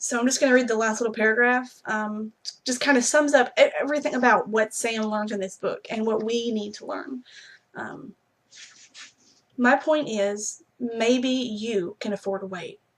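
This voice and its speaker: In a Southern US accent, a woman speaks at a moderate pace and fairly high pitch, with big swings in loudness. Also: ordinary pitch variation. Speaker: book blogger. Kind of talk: book review vlog with reading aloud.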